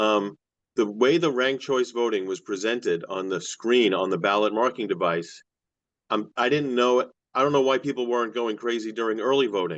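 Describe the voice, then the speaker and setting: An ordinary speaking voice from a man at medium pitch and moderate pace, with ordinary pitch variation and a quiet background. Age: 60s. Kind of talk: public testimony.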